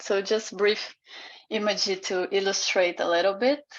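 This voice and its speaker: A woman with a Portuguese accent, medium pitch and fairly even intonation, at a fairly slow pace against a quiet background. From Brazil. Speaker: artist and PhD researcher. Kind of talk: online seminar presentation. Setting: video call. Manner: halting, many fillers.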